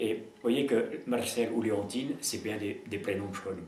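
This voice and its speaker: A man's fairly low-pitched voice amid noticeable background noise and audible room echo. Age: 80s+. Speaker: peasant philosopher. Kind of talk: interview. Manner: hesitant, repetitive.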